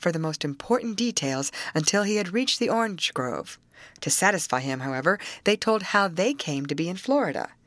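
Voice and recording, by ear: With lively intonation, the voice reads aloud naturally.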